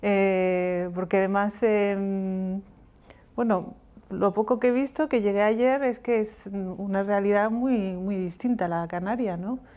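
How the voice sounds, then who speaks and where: Against a quiet background, a woman with a Moroccan accent speaks very slowly at a medium pitch, her dark, mellow tone holding fairly even intonation. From Morocco, Rif (Berber family), raised in Catalonia. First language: Riffian Berber (speaking Spanish). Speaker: novelist. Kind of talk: book presentation talk. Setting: book fair stage with audience.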